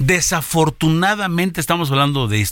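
The man speaks at a moderate speed. Everything is very clean, and the background is silent. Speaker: news radio host. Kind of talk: news reading and studio chat. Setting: radio studio.

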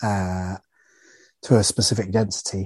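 A British man with a dark, mellow tone, fairly low pitch and fairly even intonation, in a dry, close sound with no echo over a quiet background. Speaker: podcast host. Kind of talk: interview. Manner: warm.

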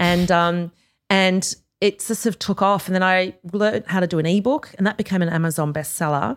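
A woman with an Australian accent at a moderate pace and medium pitch, with ordinary pitch variation and very even loudness, on a very clean recording with a silent background. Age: 40s. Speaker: author and former journalist. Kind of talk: interview conversation. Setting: studio.

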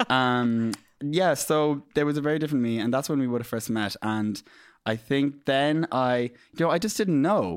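A man talks at a moderate pace in an Irish Midlands accent, at a medium pitch. His loudness stays very even and his pitch varies in an ordinary way. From Ireland, County Laois, Midlands. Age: 30s. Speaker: makeup artist. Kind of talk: casual interview chat. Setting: studio. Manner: animated.

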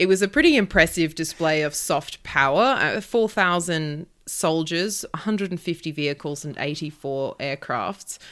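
A woman with an Australian accent speaks with hardly any pauses in a fairly low pitch, on a very clean recording with a silent background. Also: ordinary pitch variation, moderate pace. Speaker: journalist and podcast co-host. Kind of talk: news discussion podcast; casual chat.

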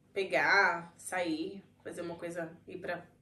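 The woman talks at a very slow pace with a Brazilian accent. Her pitch sits fairly low, and the room echo is audible. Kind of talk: casual chat.

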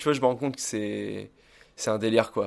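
A man with a plain, everyday voice talks at a fairly quick pace with ordinary pitch variation on a very clean recording with a silent background. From France, Oléron island (Charente-Maritime). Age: 20s. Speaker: surf instructor and MMA gym founder. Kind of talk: casual chat. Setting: small home-built dojo.

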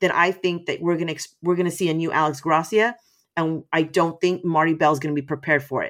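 A woman with an American accent and a plain, everyday voice speaks at a fairly quick pace in a fairly low pitch, on a very clean recording with a silent background. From Texas, San Antonio. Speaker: wrestling promotion staff. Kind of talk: casual chat.

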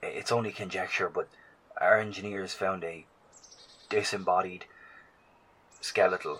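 The speaker uses a put-on character voice with a fairly bright tone and a slightly husky edge. Delivery is fairly slow, and the intonation stays fairly even. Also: man, low pitch for a man.

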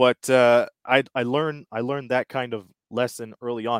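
A man has a plain, everyday voice at a medium pitch and fairly slow pace. The sound is dry and close with no echo, in a very clean recording with a silent background. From Windsor, Ontario, Canada. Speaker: sports broadcaster, play-by-play announcer. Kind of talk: casual interview.

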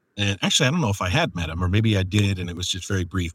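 In an American accent, a man speaks with a fairly low pitch. The sound is dry and close, with no echo. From US Northeast. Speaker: podcast host and audiobook narrator. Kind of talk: casual chat.

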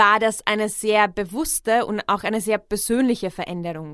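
A woman with an unremarkable speaking voice, medium pitch and fairly slow pace, on a very clean recording over a silent background. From Czech Republic. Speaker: podcast host. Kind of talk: personal narration, podcast monologue. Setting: studio.

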